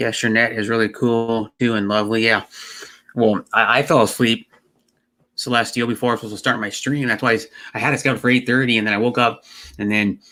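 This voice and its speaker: A man with an American accent speaks very fast at medium pitch, his tone bright and sharp and his intonation flat and monotone. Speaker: live streamer. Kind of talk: casual live stream chat. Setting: at home computer. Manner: halting, repeats words.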